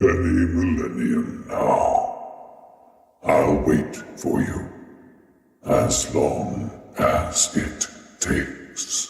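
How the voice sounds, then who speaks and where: A man performs a put-on character voice at a very slow pace, with long, frequent pauses. There is a clear echo. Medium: machinima. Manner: calm, measured.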